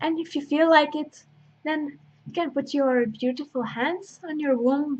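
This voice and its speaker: A high-pitched female voice at a fairly slow pace, with fairly even intonation and long, frequent pauses. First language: not English. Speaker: intuitive healer and astrologer. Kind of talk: spiritual workshop talk with guided invocation. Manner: halting, with many fillers.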